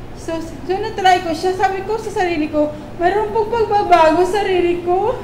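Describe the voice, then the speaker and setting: A woman talks at a moderate pace, with audible room echo and noticeable background noise around her. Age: 40s. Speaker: stroke survivor. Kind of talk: testimony. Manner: halting.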